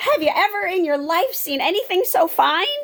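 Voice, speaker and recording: In a put-on character voice, a woman squeaks along at a moderate pace with extremely high pitch. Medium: read story. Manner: homely, plainspoken.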